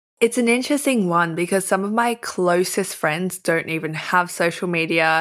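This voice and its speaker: The speaker talks with an Australian accent and hardly any pauses. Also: woman, fairly low pitch for a woman, ordinary pitch variation, moderate pace. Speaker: influencer and writer. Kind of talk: casual chat.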